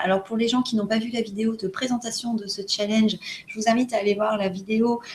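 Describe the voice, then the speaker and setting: A woman speaks at a moderate pace in a fairly high pitch over noticeable background noise. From France. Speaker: wellbeing challenge host. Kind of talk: casual video chat. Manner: halting, many hesitations.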